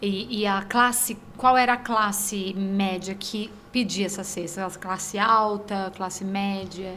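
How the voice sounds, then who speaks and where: Audible room echo surrounds a woman talking at a very slow pace with hardly any pauses. Her medium pitch stays in a monotone, flat intonation. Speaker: podcast host. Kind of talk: casual interview. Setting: studio.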